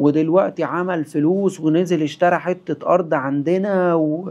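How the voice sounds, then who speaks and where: In a dark, mellow tone, a man delivers his words at a very slow pace. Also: quiet background. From Egypt. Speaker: traveler and travel company founder. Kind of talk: casual podcast interview.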